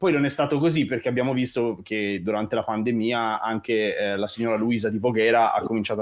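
At a fairly quick pace, a man talks in a slight Tuscan accent with ordinary pitch variation. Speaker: composer. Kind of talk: casual chat.

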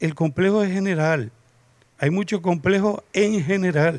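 Speaking fairly slowly, the man keeps his pitch variation ordinary. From Canary Islands, La Palma; Canary Islands. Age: 50s. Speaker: writer; panelist. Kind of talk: panel discussion. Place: garden. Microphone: handheld.

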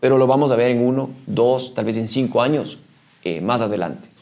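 The background is silent. The speaker is a man. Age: 40s. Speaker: mountaineer and trail runner; podcast guest. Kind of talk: interview. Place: meeting room.

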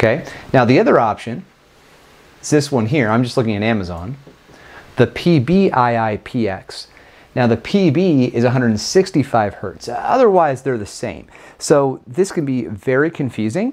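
Here a man uses lively intonation at a fairly slow pace. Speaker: tech reviewer. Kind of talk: product review commentary. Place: home room. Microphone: lapel.

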